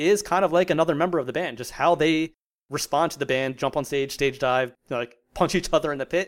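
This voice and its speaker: On a very clean recording with a silent background, a man with an American accent speaks in a normal speaking voice at a moderate pace with ordinary pitch variation. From US, South Jersey. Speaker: music platform founder. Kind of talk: interview.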